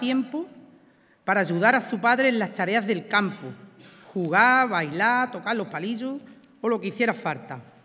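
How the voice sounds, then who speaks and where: At a moderate pace, a woman with a fairly high pitch talks in a bright, sharp tone with lively intonation. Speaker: presenter of the pregonera. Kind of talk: formal ceremonial speech. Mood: warm, nostalgic. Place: stage. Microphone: podium.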